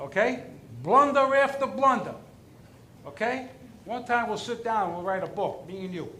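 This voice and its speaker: In a raised, projected voice with an animated tone, a man speaks at an extremely high pitch and a moderate pace, his intonation lively, with big swings in loudness, long, frequent pauses, and audible room echo. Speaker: resident speaking at public comment. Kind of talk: public comment at town board meeting. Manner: animated, emphatic.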